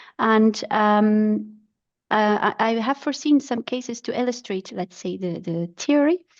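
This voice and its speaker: A woman with a non-native accent at a moderate pace, fairly high in pitch with ordinary pitch variation, over a quiet background. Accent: non-native English speaker. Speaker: pathologist. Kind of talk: lecture. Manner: halting, with fillers.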